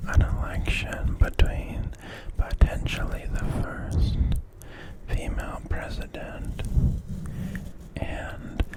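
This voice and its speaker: Whispering in a soothing tone at a very slow pace, the speaker leaves long, frequent pauses over noticeable background noise. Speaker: ASMR creator. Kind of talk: ASMR whispered news commentary. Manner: whispered, soothing.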